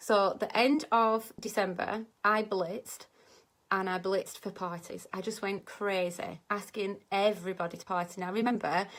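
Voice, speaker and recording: At a fairly slow pace, a woman with a plain, everyday voice speaks at a medium pitch with ordinary pitch variation, in a very clean recording with a silent background. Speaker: direct sales consultant and vlogger. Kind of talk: tutorial.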